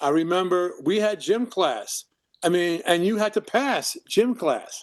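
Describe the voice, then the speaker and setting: A man with a New York accent, high in pitch, at a fairly slow pace, in a dry, close sound with no echo. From New York (Brooklyn). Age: 70s. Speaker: filmmaker and actor. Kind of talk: interview conversation. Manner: halting, with repetitions.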